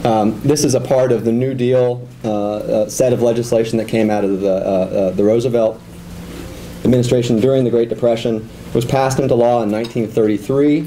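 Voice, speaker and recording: Against noticeable background noise, a man at medium pitch speaks with fairly even intonation at a moderate pace. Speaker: professor. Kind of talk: lecture. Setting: seminar room with audience. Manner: frequent fillers and repetitions.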